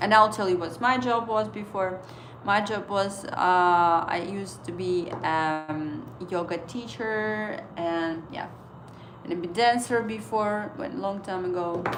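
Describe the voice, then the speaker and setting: Speaking in a non-native accent at a fairly slow pace, the voice shows ordinary pitch variation against audible room echo. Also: woman, medium pitch for a woman. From Estonia. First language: Estonian. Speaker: trading livestreamer. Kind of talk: casual livestream chat. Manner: halting.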